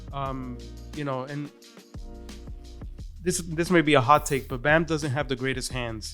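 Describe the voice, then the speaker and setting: A man at a fairly slow pace with long, frequent pauses, ordinary pitch variation and music in the background. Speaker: podcast guest. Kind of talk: casual podcast conversation.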